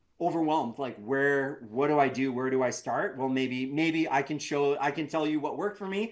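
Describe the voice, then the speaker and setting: With a Canadian accent, a fairly high-pitched man talks at a moderate pace with hardly any pauses and ordinary pitch variation, noticeable background noise behind him. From Canada. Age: 40s. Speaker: entrepreneur. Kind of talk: interview. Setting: podcast. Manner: halting, with many fillers.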